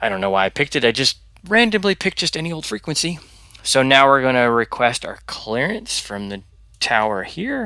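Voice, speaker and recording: A man speaks quietly and fairly quickly in a medium-pitched voice with a bright, sharp tone. His pitch swings very widely on a very clean recording with a silent background. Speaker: flight sim youtuber with low vision. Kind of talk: tutorial. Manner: hesitant, many ums.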